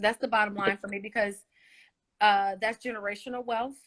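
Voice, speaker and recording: A woman's fairly high voice proceeds at a moderate pace. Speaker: singer. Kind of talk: interview.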